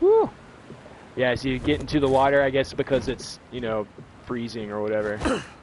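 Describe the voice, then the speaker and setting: Over noticeable background noise, a man with a medium pitch talks in an animated tone at a fairly quick pace. He leaves long, frequent pauses. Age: 30s. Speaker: gaming streamer. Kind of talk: live gameplay commentary. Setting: home live stream.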